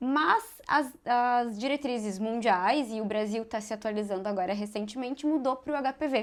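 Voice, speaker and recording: A fairly high-pitched woman's voice with a southern Brazilian accent and hardly any pauses, on a very clean recording with a silent background. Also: ordinary pitch variation, moderate pace. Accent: southern Brazilian, mistaken for gaúcha. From Santa Catarina, Brazil (west, small town). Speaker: gynecologic oncology surgeon. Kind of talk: podcast interview, medical explanation.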